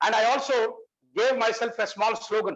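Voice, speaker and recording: A man with an extremely high pitch talks at a fairly slow pace with ordinary pitch variation. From India. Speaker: senior police officer, keynote speaker. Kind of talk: keynote lecture. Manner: halting, with self-repetitions.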